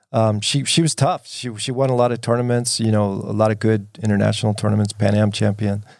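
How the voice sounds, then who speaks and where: With hardly any pauses, a man with an American accent and a fairly low pitch speaks at a fairly quick pace in an unremarkable speaking voice, recorded very cleanly against a silent background. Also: fairly even intonation. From US Northeast (New Jersey). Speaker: retired judo champion and coach. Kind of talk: casual interview.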